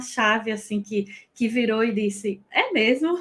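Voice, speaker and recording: In a northeastern Brazilian accent, a woman speaks at a moderate pace. Her pitch variation is ordinary. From Northeast Brazil. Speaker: French teacher. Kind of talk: personal testimony. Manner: halting.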